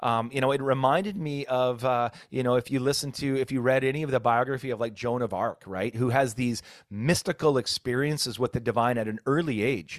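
Over a silent background in a very clean recording, a man talks at a fairly quick pace with hardly any pauses, a medium pitch and ordinary pitch variation. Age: 50s. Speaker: podcast host and former pastor. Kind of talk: casual interview. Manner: halting, many fillers.

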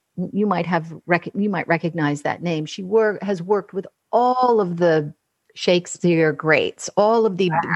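A woman speaks in a normal speaking voice at a fairly slow pace. The background is quiet. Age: 60s. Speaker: voice and speech coach. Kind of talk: casual interview conversation.

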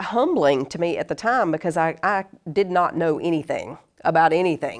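With a Southern US accent, a woman talks at a moderate pace and fairly low pitch, her pitch varying in an ordinary way. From US South, North Carolina. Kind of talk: casual interview chat. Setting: in person, in studio.

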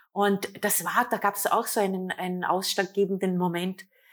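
A woman's normal speaking voice at medium pitch and moderate pace, in a very clean recording with a silent background. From Austria, Vorarlberg. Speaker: self-love and couples coach, author. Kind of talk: interview.

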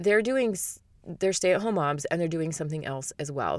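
With an American accent, a woman speaks at a moderate pace in a fairly low, warm voice. Her intonation is lively, and the recording is very clean, with a silent background. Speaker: podcast host. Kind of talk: solo podcast episode, personal talk. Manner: warm, conversational.

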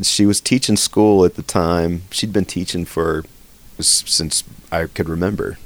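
A man speaks with a very deep, low pitch at a moderate pace. His intonation stays fairly even. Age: 40s. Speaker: session musician and composer. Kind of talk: casual chat.

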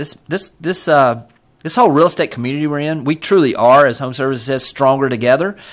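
Fairly quick speech from a man with a fairly high pitch and ordinary pitch variation. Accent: Southern US. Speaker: real estate brokerage executive. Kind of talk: casual interview. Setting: video call. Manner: fast talker.

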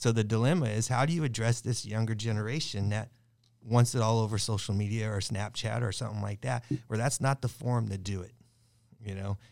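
In an ordinary speaking voice, a man with an American accent talks at a fairly quick pace and medium pitch with fairly even intonation, on a very clean recording with a silent background. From Southern California, Long Beach. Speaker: firefighter union president. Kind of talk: casual roundtable discussion.

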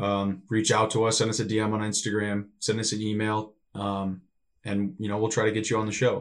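Here is a man with an American accent and a fairly low pitch. He talks at a fairly quick pace. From US Midwest, northern Illinois. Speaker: podcast co-host, professional volleyball player. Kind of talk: casual chat.

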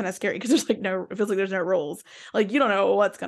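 A woman of medium pitch with vocal fry, against a quiet background. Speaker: podcast host and mindset coach. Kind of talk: casual interview chat. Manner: conversational, friendly.

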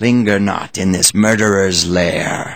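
Dramatic tone from a man speaking at a fairly slow pace. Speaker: audiobook narrator. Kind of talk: fairy-tale audiobook reading, scripted narration. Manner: storyteller's measured pace, dramatic and suspenseful.

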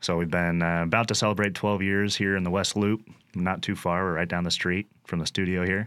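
The recording is very clean, with a silent background. A man with a fairly low pitch speaks in a monotone, flat intonation. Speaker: brewery operations director. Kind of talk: casual chat. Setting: studio.

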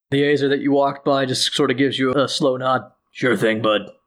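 In a raspy, put-on character voice, a man talks at a fairly quick pace with medium pitch, fairly even intonation and very even loudness. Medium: actual play. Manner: casual, friendly.

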